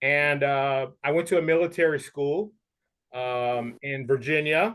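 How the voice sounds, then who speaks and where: This man's pitch sits fairly high. His pitch varies in an ordinary way. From US East Coast and Texas, moved often. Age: 50s. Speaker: English teacher. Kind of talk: interview conversation. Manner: relaxed, many fillers.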